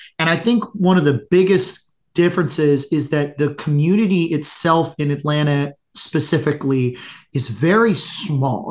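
With an American accent, a man talks at a moderate pace in a fairly high pitch. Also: quiet background. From Florida (Tampa). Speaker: brewery owner. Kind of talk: casual interview. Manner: halting, many fillers and repeats.

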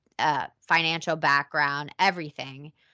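A woman's plain, everyday voice at a moderate pace, fairly even in intonation, with a dry, close sound with no echo and a quiet background. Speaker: actress. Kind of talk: interview.

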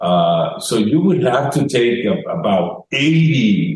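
Somewhat breathy male voice with very wide pitch swings. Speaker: health expert. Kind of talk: radio interview. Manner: halting.

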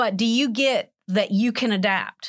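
A woman with an American accent speaks at a fairly slow pace in a bright, sharp tone, with a fairly high pitch and lively intonation, on a very clean recording with a silent background. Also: dry, close sound with no echo. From US South, Alabama (Montgomery). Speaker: accounting lecturer. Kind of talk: interview.

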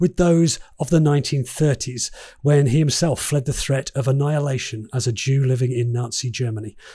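The voice sounds somewhat breathy, with a dark, mellow tone and a moderate pace. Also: man. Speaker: podcast host and interviewer. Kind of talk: podcast intro and interview questions.

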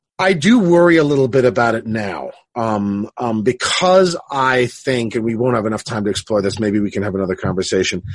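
A man with an unremarkable speaking voice talks at a medium pitch with lively intonation. His pace is fairly quick, with hardly any pauses. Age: 50s. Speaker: philosophy professor and podcast host. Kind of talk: casual academic conversation.

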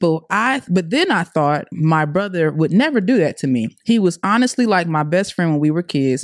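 An ordinary speaking voice with an American accent and lively intonation. The sound is dry and close with no echo, in a very clean recording with a silent background. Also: woman. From US South, Atlanta. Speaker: podcast crew member and mother. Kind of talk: personal testimony.

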